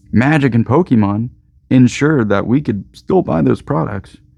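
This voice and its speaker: Lively intonation and vocal fry mark this man's voice as he speaks at a moderate pace. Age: 30s. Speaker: game store owner. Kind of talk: casual vlog monologue. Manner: animated.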